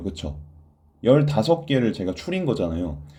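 A man with a dark, mellow tone at medium pitch makes very wide pitch swings, and audible room echo can be heard. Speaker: Korean language exam tutor. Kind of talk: online lecture. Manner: stammering.

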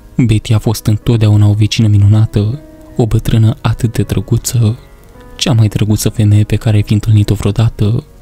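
Over music in the background, a man talks at a moderate pace with a fairly low pitch and monotone, flat intonation. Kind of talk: horror story narration. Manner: calm, expressive.

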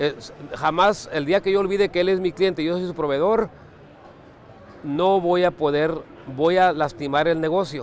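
A man's fairly high voice at a moderate pace with ordinary pitch variation

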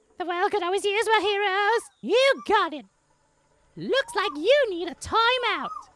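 In a put-on character voice, a female-sounding voice speaks at an extremely high pitch. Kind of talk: comic overacting, deliberately bad. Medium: voice reel. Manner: hyper, cheeky, silly.

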